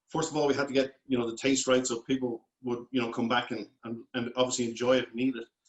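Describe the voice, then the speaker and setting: A man in a Dublin accent talks very fast with hardly any pauses. His medium-pitched voice is monotone and flat. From Ireland, Dublin. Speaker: food company founder. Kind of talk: interview.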